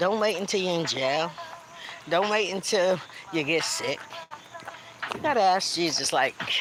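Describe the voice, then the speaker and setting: A woman's fairly low, animated voice at a fairly slow pace with long, frequent pauses, very even loudness and noticeable background noise. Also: ordinary pitch variation. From Brooklyn, New York. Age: 50s. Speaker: motivational speaker and indie artist. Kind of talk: livestream motivational talk. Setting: outdoors in a park.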